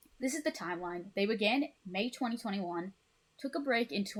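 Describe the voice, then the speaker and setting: The intonation is lively. The voice sounds somewhat breathy. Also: woman. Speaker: music fan presenter. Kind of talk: casual talk reading a presentation. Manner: stuttering, hesitant with fillers.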